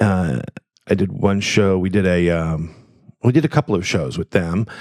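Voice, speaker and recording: At a moderate pace, a man with an American accent and a very deep, low pitch speaks with lively intonation. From US West Coast, San Francisco. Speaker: improv performer and teacher. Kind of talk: interview. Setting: home studio.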